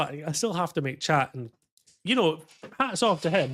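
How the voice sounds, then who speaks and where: A man with a strong Scottish accent speaks at a moderate pace with lively intonation, on a very clean recording with a silent background. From Scotland. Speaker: flight sim streamer. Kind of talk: casual chat. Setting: live stream. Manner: animated.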